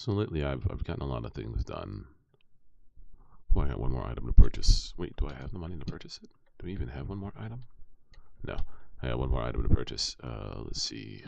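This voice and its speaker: This voice has vocal fry, lively intonation and big swings in loudness at a fairly quick pace. Long pauses come often. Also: man. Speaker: streamer. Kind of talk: casual gaming livestream chat. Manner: casual, many fillers.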